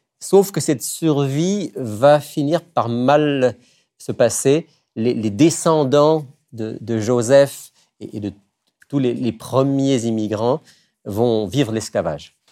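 A dark, mellow tone comes at a very slow pace with long, frequent pauses, on a very clean recording with a silent background. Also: man, medium pitch for a man, ordinary pitch variation. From France. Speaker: radio host. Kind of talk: religious talk show.

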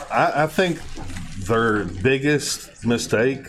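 A man is speaking. Background noise is noticeable. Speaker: guest co-commentator. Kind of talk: casual chat; car dealer commercial parody, playing a goofy salesman.

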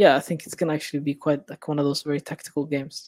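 A man speaks at a fairly high pitch in a monotone, flat delivery. The sound is dry and close, with no echo. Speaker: football writer. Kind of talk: casual chat.

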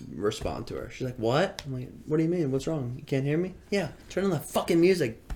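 A man with an American accent speaks at a very fast pace, with vocal fry in his voice. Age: 20s. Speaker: podcast co-host. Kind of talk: casual chat.

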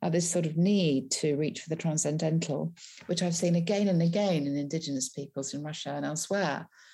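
On a very clean recording with a silent background, a woman with a very deep, low pitch and a dark, mellow, somewhat breathy tone speaks at a fairly quick pace with fairly even intonation. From West Country, England. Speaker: travel writer and biographer. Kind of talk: interview.

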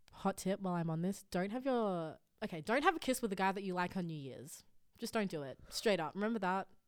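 On a very clean recording with a silent background, a woman with an Australian accent speaks at a medium pitch and a very fast pace with lively intonation. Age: young. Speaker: podcast guest. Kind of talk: casual chat.

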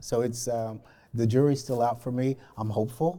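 A man's somewhat breathy voice at a medium pitch, with a dark, mellow tone, fairly even intonation and an American accent. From Alabama, US South. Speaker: corporate diversity program lead. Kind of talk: panel discussion. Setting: library reading room.

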